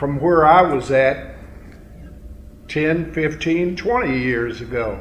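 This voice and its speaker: Speaking very slowly with long, frequent pauses, a man uses a fairly high pitch and ordinary pitch variation, with audible room echo and noticeable background noise. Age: 70s. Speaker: family elder. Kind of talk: speech. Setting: family reunion banquet.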